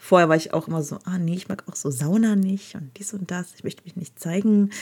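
This woman's voice sits fairly low in pitch. She speaks at a fairly quick pace. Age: 30s. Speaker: podcast host. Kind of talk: casual monologue storytelling. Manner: animated.

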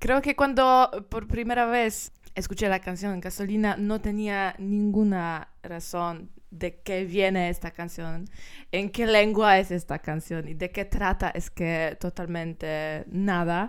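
Speaking with a Polish accent, a woman talks at a very slow pace. Her pitch is medium and varies in an ordinary way. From Poland. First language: Polish (speaking Spanish). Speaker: singer. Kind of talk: interview. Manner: halting; smiling while speaking.

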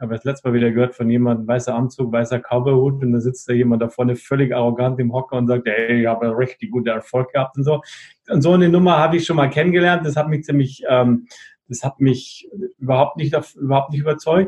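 At a very fast pace, a man with a medium pitch and ordinary pitch variation sounds somewhat breathy. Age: 50s. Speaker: network marketing partner. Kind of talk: casual interview.

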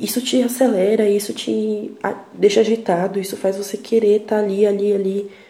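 A woman with fairly even intonation at a moderate pace, over noticeable background noise. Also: medium pitch for a woman. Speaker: podcaster. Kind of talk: personal monologue. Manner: reflective.

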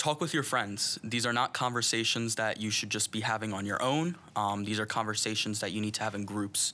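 A man speaks at a fairly quick pace with hardly any pauses. His tone is bright and sharp, with ordinary pitch variation. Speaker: student leader. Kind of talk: interview.

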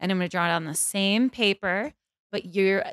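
With an ordinary speaking voice, a woman talks at a fairly quick pace in a medium pitch with ordinary pitch variation. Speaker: fashion stylist. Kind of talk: casual chat.

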